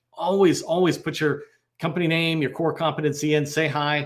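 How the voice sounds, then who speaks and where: A man's fairly high voice at a fairly quick pace. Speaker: federal sales trainer. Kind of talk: online training webinar. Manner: fast.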